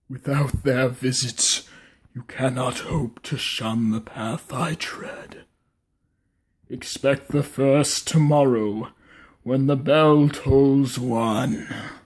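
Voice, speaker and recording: Someone puts on a character voice and speaks at a very slow pace. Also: man, medium pitch for a man. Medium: audio drama. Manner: solemn, mournful.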